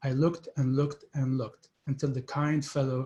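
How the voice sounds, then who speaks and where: A man speaks at a moderate pace in a medium pitch with a dark, mellow tone. His voice is somewhat breathy, and his intonation is monotone and flat. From Palestine. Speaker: writer. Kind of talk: reading aloud.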